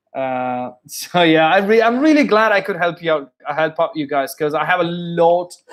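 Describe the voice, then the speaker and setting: A man with a British accent speaks at a high pitch. His pace is moderate. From India. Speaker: English accent coach and musician. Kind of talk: live-stream tutorial. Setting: live stream with headset. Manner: halting, many restarts.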